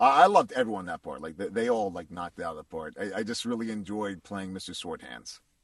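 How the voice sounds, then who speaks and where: A man with an American accent talks at a very fast pace. His loudness swings widely. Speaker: voice actor. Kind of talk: interview.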